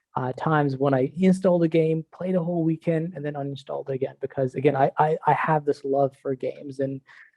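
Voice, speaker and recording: Talking at a fairly quick pace with an Iranian accent, a man uses fairly high pitch and ordinary pitch variation. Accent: Iranian (Persian) accent in English. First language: not English (English was his fourth language). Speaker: director of product and university instructor. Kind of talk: podcast interview.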